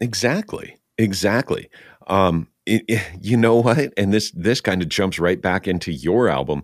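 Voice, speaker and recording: In a dry, close recording with no echo, a man with an ordinary speaking voice talks fairly slowly at a fairly low pitch, his intonation lively. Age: 50s. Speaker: podcast host and voice actor. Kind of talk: casual chat. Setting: video call.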